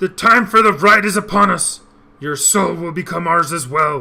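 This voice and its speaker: The speaker uses a put-on character voice at a moderate pace. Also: man, high pitch for a man. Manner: menacing.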